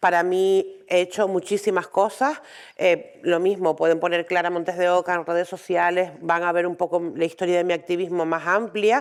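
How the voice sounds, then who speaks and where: In a Canarian accent, a woman with a fairly low pitch speaks at a moderate pace with fairly even intonation. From Canary Islands, Tenerife. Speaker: intersex rights activist, parent. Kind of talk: conference talk. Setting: training day lecture with audience.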